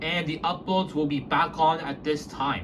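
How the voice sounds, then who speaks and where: Amid noticeable background noise and audible room echo, a man talks at a fairly high pitch with ordinary pitch variation. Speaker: elevator video channel owner. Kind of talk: casual channel update vlog. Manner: halting, repetitive; trying to speak softly.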